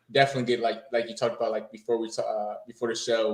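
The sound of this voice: A man's fast, fairly low-pitched voice in an American accent, slightly mellow in tone with little pitch movement, with audible room echo.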